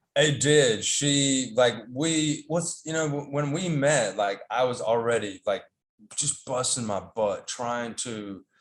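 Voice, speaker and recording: Speaking very slowly in a Southern US accent, a man has a fairly high pitch and ordinary pitch variation. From US South, North Carolina. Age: 40s. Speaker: podcast guest. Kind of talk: casual interview chat. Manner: halting, many fillers and repeats.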